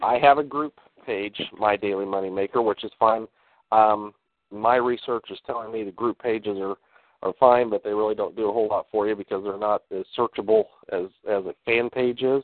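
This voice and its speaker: At a fairly quick pace, a man uses a normal speaking voice, fairly low in pitch and fairly even in intonation. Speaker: call participant. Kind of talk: casual conversation. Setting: phone call.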